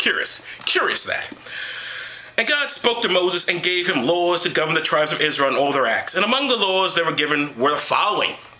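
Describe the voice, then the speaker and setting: Over noticeable background noise and audible room echo, a man with a high voice talks at a fairly quick pace, his pitch swinging very widely while his loudness stays very even. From New York. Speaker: comedic vlogger. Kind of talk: comedic commentary. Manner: fast; animated.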